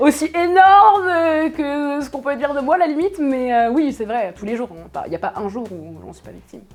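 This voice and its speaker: Over music in the background, a woman talks at a high pitch and fairly quick pace with hardly any pauses, very wide pitch swings and big swings in loudness. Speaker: streamer. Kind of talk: interview. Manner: casual, colloquial.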